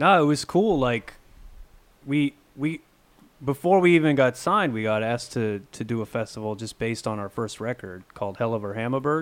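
Fairly quick and with lively intonation, this voice has a northern New York accent. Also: man, medium pitch for a man. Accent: northern New York American. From upstate New York, near the Quebec/Ontario border. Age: 30s. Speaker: metal guitarist. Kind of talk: casual interview chat. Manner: halting, many fillers and restarts.

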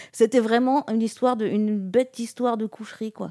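A woman's dark, mellow voice at a fairly quick pace, in a very clean recording with a silent background and a dry, close sound with no echo. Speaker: humanitarian water and sanitation specialist. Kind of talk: interview. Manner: casual with fillers.

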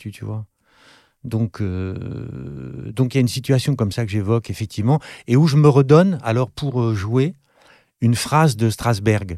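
A man with a French accent speaks at a fairly slow pace, with long, frequent pauses and lively intonation in a dark, mellow tone at medium pitch. The recording is very clean with a silent background, and the sound is dry and close with no echo. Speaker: actor and author, former acting teacher. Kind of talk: casual interview chat.

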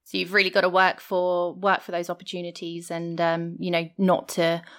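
Monotone, flat intonation on a very clean recording with a silent background. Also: woman. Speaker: podcast co-host. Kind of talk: interview.

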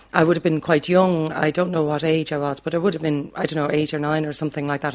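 Speaking in a Dublin accent, a woman uses a very deep, low pitch and monotone, flat intonation. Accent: Dublin Irish. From Ireland, Dublin. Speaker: music teacher. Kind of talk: reminiscing interview.

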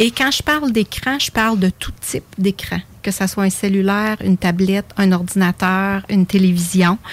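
Breathy at times, a woman speaks at a medium pitch. The sound is dry and close, without echo. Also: ordinary pitch variation, moderate pace, hardly any pauses. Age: 50s. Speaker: face yoga teacher. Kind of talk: radio interview.

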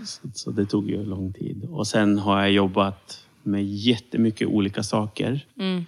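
Using a normal speaking voice, a man talks at a fairly slow pace and fairly low pitch. He has ordinary pitch variation and hardly any pauses. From Sweden, Serbian-born Roma. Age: 30s. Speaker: civil servant and minority rights consultant. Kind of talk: interview.

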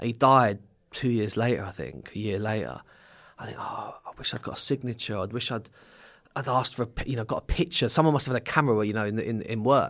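A man with an English accent talks at a medium pitch on a very clean recording with a silent background. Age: 40s. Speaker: recovering addict, charity campaigner. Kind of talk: interview conversation. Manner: hesitant, many fillers.

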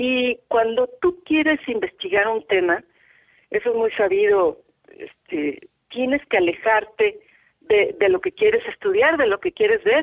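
Speaking fairly slowly with a Mexico City accent, the voice makes very wide pitch swings. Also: woman, high pitch for a woman. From Mexico, Mexico City. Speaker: photographer and visual artist. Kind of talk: interview conversation.

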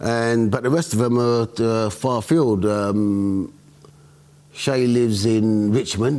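In a London accent, a man speaks at a very slow pace and a medium pitch, with very even loudness and ordinary pitch variation. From London, Hackney. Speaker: interviewee, local resident. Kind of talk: casual chat.

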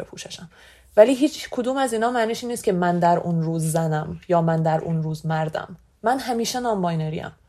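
A woman with a dark, mellow tone and fairly low pitch speaks at a fairly quick pace. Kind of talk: personal testimony.

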